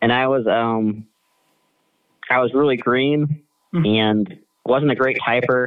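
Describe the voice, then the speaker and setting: In a Midwestern American accent, a man speaks at a fairly slow pace with fairly even intonation, very even loudness, and long, frequent pauses. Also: medium pitch for a man. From Kansas, US Midwest. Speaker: political writer and addictions counselor. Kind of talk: casual interview.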